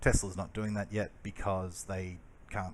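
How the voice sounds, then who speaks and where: This is a man speaking with an Australian accent. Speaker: electric car channel host. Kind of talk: casual explainer over video. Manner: hesitant, many fillers.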